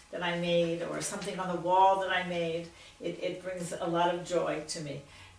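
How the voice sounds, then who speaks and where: Speaking with an American accent at a moderate pace, a woman has a fairly low pitch amid noticeable background noise and audible room echo. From Philadelphia, Pennsylvania. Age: 70s. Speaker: retired teacher. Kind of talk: oral history interview. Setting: at her home.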